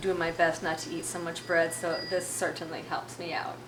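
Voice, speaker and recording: Soft-spoken and fairly low-pitched, a woman talks in a monotone, flat intonation, with audible room echo and noticeable background noise. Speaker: fermented food producer and author. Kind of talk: interview.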